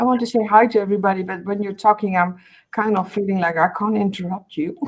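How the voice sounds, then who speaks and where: Using a medium pitch and fairly even intonation, a woman speaks at a very fast pace. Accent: Dutch. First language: Dutch. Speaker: artist, video co-host. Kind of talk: casual chat. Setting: video call.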